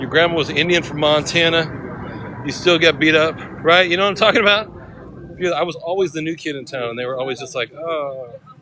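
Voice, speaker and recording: Through noticeable background noise, a man talks fairly quickly in a fairly high voice with ordinary pitch variation. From California, Sacramento area. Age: 50s. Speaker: live streamer. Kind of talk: casual live stream chat.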